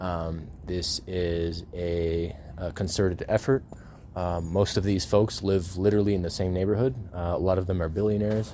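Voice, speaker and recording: This man's pitch is very deep and low. He talks at a moderate pace, his intonation fairly even. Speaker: vlogger. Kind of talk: personal video update. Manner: stuttering; halting, many fillers.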